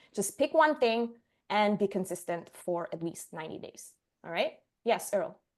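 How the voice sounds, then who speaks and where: A woman speaks at a moderate pace in a fairly high pitch, her voice swinging very widely in pitch and greatly in loudness against a quiet background. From Sicily, Italy. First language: Italian. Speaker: marketing agency owner, presenter. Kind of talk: online workshop presentation.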